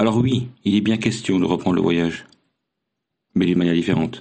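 A man speaks at a fairly quick pace with a very deep, low pitch. His tone is dark and mellow, with ordinary pitch variation. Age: 50s. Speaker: long-distance cycling traveller. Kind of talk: recorded personal diary testimony.

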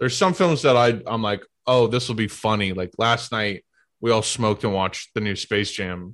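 A man with an ordinary speaking voice, medium in pitch with ordinary pitch variation, over a quiet background. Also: moderate pace. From US Midwest, St. Louis. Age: 20s. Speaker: comedian, content creator. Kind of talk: casual chat. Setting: video call.

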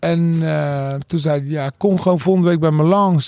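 A man's dark, mellow voice with lively intonation at a moderate pace, in a dry, close sound with no echo. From Rotterdam, Netherlands. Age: 40s. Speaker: DJ. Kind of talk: casual chat.

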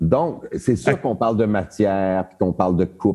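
Here a man with a dark, mellow tone talks at a moderate pace. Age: 60s. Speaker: theatre director. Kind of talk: casual interview.

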